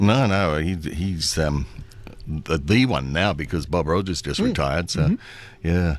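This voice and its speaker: Speaking with an Australian accent, the man has a very deep, low pitch and ordinary pitch variation. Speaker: voice actor. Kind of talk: radio interview answer. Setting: radio studio.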